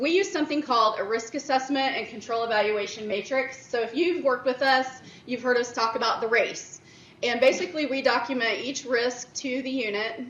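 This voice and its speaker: Loud speech at a fairly quick pace with ordinary pitch variation comes with audible room echo and noticeable background noise. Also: woman, high pitch for a woman. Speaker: director of internal audit presenting at a conference. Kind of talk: conference presentation.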